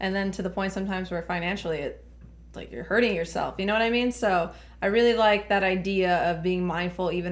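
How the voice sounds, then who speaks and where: A woman with an American accent speaks fairly quickly with fairly even intonation, and audible room echo surrounds her voice. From Laredo, Texas. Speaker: podcast host. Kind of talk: casual chat.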